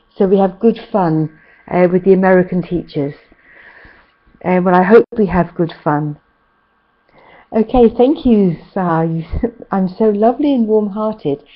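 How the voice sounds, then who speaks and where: Speaking with a British accent, a woman goes at a fairly slow pace with long, frequent pauses, her medium pitch showing ordinary variation. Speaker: English teacher. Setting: online class.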